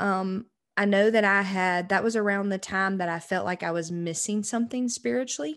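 In a quiet background, a woman with a normal speaking voice speaks at a medium pitch and a moderate pace with ordinary pitch variation. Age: 20s. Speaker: podcast co-host. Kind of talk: casual chat.

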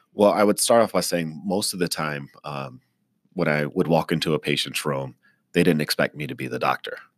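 Talking at a fairly quick clip, a man with a very deep, low voice and vocal fry uses ordinary pitch variation in a dry, close recording with no echo. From East Texas (military family, moved around). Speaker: emergency physician and professor. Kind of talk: interview. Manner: frequent fillers (uh, um).

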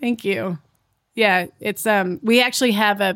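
Very clean recording with a silent background of an unremarkable speaking voice with an American accent, at a moderate pace and with ordinary pitch variation. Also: woman. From California (Napa Valley). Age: 40s. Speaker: gender economist and company founder. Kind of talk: interview.

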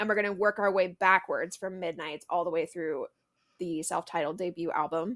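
A woman uses an ordinary speaking voice at a fairly low pitch and moderate pace. The recording is very clean with a silent background, and the sound is dry and close with no echo. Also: fairly even intonation. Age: 20s. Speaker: podcast co-host. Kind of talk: casual chat.

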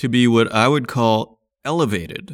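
A man with a Canadian accent and a medium pitch talks at a very slow pace on a very clean recording with a silent background. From Saskatchewan, Canada. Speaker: podcast host. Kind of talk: solo market commentary.

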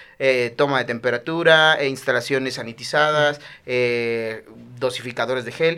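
In a very clean recording with a silent background, a man of medium pitch talks at a moderate pace in a bright, sharp tone. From Mexico, Chiapas. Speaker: comedian. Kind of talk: casual chat. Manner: animated.

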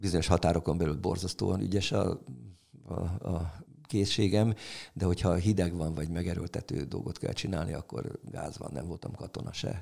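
Very deep and low, a man's voice with a dark, mellow tone and vocal fry moves at a moderate pace with ordinary pitch variation. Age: 70s. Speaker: music history teacher. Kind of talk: casual chat.

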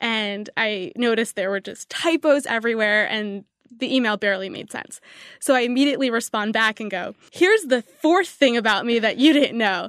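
In an ordinary speaking voice, a woman talks at a moderate pace with a fairly high pitch, ordinary pitch variation and big swings in loudness. The background is quiet, and the sound is dry and close with no echo. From New York City area. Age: 20s. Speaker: marketing executive. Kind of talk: interview. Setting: studio.

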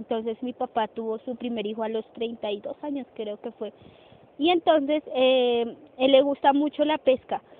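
A woman speaks in a high voice at a fairly slow pace. Her intonation stays fairly even. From Colombia, rural Bogotá area. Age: 20s. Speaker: young farmer. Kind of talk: testimony. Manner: hesitant with fillers.

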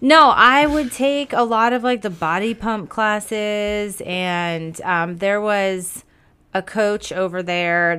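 A woman speaks in a bright, sharp tone. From South Florida. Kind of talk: casual interview chat.

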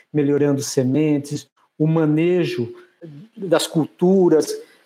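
A man's dark, mellow voice with a fairly high pitch, ordinary pitch variation and a fairly slow pace, on a very clean recording with a silent background. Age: 50s. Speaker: agronomy professor and consultant. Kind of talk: casual interview chat.

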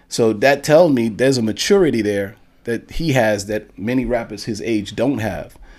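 Here a man speaks in a fairly low voice at a moderate pace. His pitch varies in an ordinary way. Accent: New York. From Bronx, New York. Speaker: music manager. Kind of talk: casual chat.

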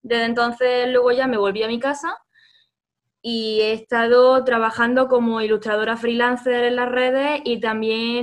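With a plain, everyday voice, a woman talks at a moderate pace and a fairly high pitch, her intonation fairly even. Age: 20s. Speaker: illustrator and writer. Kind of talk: interview.

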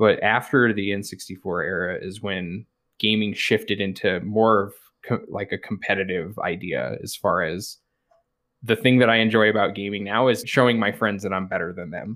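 A man with a fairly low pitch and a General American accent speaks at a moderate pace with fairly even intonation in an unremarkable speaking voice. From rural Colorado, US. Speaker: twitch streamer. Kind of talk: casual interview chat.

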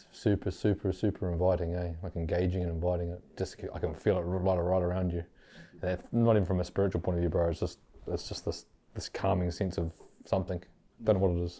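A man with a New Zealand accent, very deep and low in pitch, with a dark, mellow tone, somewhat breathy, at a very fast pace with monotone, flat intonation, against a quiet background. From New Zealand, West Auckland. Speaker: podcast host. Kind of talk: casual interview. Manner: hesitant, many fillers.

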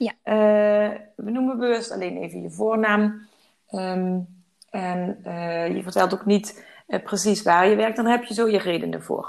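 Very slow delivery with fairly even intonation. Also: woman, medium pitch for a woman. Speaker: podcast host and balance coach. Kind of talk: interview.

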